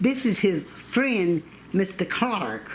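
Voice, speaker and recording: Lively intonation and a Southern US accent come through against noticeable background noise. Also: woman. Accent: Southern American. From North Carolina, USA. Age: 80s+. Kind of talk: oral history interview answer.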